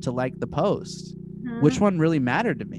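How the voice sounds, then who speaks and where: Noticeable background noise runs under the clip. A man delivers his words at a fairly quick pace. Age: 30s. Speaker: social media meme page creator. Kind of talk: casual chat.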